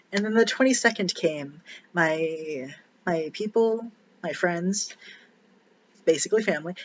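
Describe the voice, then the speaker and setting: A quiet, high-pitched male voice at a fairly slow pace with ordinary pitch variation. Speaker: vlogger sharing personal surgery experience. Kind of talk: casual personal vlog. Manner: halting, many fillers.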